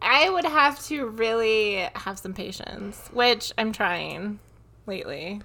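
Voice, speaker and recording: A woman's fairly high, bright, sharp voice in a Midwestern American accent, at a very slow pace. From US Midwest, Michigan. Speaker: podcast co-host, mother. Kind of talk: casual chat. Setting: home.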